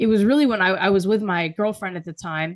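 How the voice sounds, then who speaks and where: A woman with an American accent and an ordinary speaking voice talks at a moderate pace with ordinary pitch variation, in a dry, close sound with no echo and a quiet background. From US, progressive city. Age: 20s. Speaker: writer and public speaker. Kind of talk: interview.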